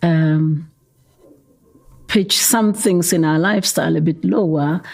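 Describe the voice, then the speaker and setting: Somewhat breathy and fairly low-pitched, a woman speaks with lively intonation in a Gauteng accent. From South Africa, Soweto, Gauteng. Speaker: youth development founder. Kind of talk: interview. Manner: hesitant, repeats words.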